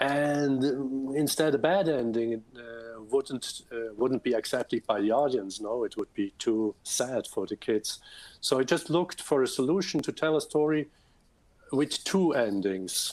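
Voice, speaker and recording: With a Swiss German accent, a man talks at a medium pitch and fairly slow pace, with ordinary pitch variation. The sound is dry and close with no echo, on a very clean recording with a silent background. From Switzerland, Bern. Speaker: children's book author and illustrator. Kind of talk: interview Q&A. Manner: halting, many fillers and repetitions.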